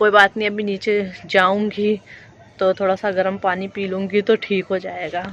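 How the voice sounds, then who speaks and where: A woman speaks at a medium pitch. Her delivery is fairly slow, monotone and flat. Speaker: vlogger. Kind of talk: casual vlog talk to camera. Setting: outdoors on rooftop.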